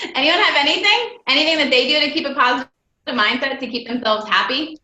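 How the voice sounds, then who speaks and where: A raised, projected voice delivers lively intonation at a very fast pace. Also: woman, high pitch for a woman. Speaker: network marketing team member hosting a team call. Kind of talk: motivational team call talk. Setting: group call.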